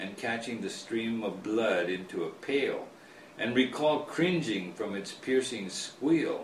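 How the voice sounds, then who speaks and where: A man with an American accent speaks fairly slowly with lively intonation. Noticeable background noise runs underneath. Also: medium pitch for a man. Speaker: author. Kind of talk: author reading his own book, storytelling.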